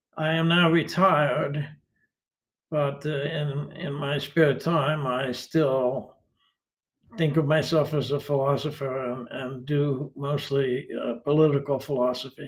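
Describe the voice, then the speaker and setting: A man's somewhat breathy voice, fairly high in pitch, monotone and flat in intonation, at a fairly slow pace. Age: 80s+. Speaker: retired philosophy professor. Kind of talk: interview. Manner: halting, many fillers.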